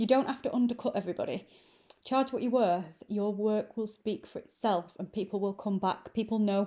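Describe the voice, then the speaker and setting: With a northern English accent, a woman speaks at a moderate pace in a dark, mellow tone, her fairly high pitch paired with fairly even intonation. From northern England, Manchester. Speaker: lash extension trainer. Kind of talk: tutorial. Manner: casual, conversational with fillers.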